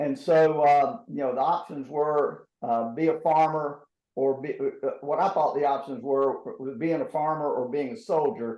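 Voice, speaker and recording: With an American accent, a man speaks at a fairly slow pace. His pitch is fairly high. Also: ordinary pitch variation. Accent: North Carolina accent overlaid with Texas. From southeastern North Carolina, Robeson County. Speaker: former astronaut. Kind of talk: interview answers. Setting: video call. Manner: halting, many fillers and repeats.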